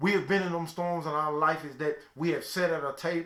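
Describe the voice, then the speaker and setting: Speaking at a moderate pace with a Southern US accent, a man has a fairly high pitch and ordinary pitch variation. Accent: Southern country. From US South, Mississippi (Calhoun City). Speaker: motivational speaker. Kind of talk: motivational talk. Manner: storytelling, preacher-like.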